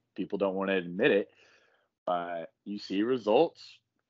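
Here is a plain, everyday voice at a moderate pace. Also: man. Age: 20s. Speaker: bodybuilder and social media creator. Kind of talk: casual chat.

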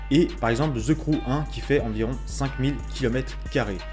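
A man speaks with music playing in the background. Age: young. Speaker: game design student. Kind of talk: lecture to camera.

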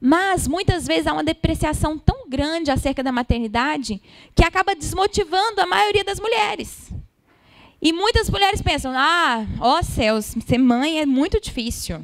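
A woman speaks in a high pitch at a moderate pace. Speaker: preacher. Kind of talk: sermon. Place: church. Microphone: handheld.

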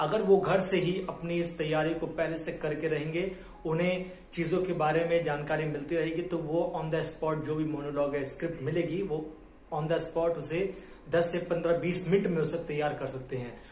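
The speech moves at a fairly slow pace, with light background noise and audible room echo. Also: man, high pitch for a man. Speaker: acting coach. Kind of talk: tutorial. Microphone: phone near.

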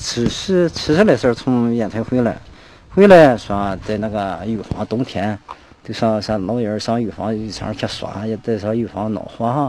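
A man's voice with ordinary pitch variation, dry and echo-free, over light background noise. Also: fairly slow pace. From Shandong. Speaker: villager, grandson of martial artist. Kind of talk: interview reminiscence. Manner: halting. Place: street. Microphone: handheld.

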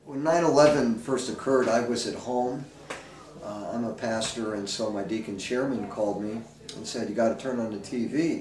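At a moderate pace and medium pitch, a man talks with ordinary pitch variation amid light background noise and audible room echo. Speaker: pastor. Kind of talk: interview answer. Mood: calm, reflective. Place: home room.

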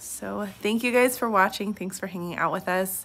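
A woman speaks at a medium pitch. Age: 20s. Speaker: vlogger and single mother, hospital nurse. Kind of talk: casual vlog talk to camera.

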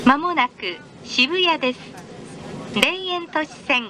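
Her tone bright and sharp, a woman talks slowly at a high pitch with lively intonation.

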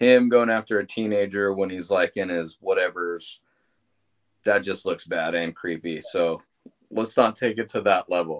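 A man's fairly low voice at a moderate pace, with ordinary pitch variation, against a quiet background. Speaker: podcast host. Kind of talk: casual podcast discussion. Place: home room. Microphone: studio mic.

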